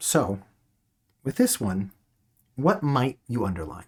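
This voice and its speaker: A somewhat breathy male voice with very wide pitch swings. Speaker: teacher. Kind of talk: online class. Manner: halting.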